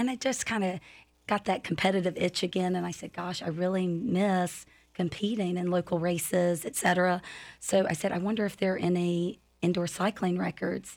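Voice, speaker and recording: A woman's fairly low voice, a normal speaking voice, at a moderate pace in a very clean recording with a silent background. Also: fairly even intonation. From North Carolina. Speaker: indoor cycling studio owner and instructor. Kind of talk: casual interview.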